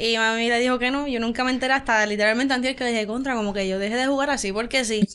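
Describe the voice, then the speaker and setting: In a Puerto Rican accent, a woman with a high voice rushes along at a very fast pace with fairly even intonation and hardly any pauses. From Puerto Rico, Barceloneta; Puerto Rico. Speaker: volleyball player; guest. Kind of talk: interview. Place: studio. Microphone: studio mic.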